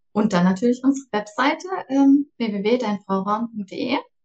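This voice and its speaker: A woman's fairly high-pitched voice, an ordinary speaking voice with ordinary pitch variation. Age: 40s. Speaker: startup co-founder. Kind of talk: casual interview.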